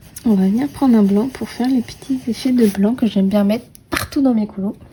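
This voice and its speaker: Over noticeable background noise, a woman speaks fairly quickly at a fairly high pitch with ordinary pitch variation. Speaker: coloring video creator. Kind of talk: casual tutorial commentary while coloring. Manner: chatty, with many hesitations.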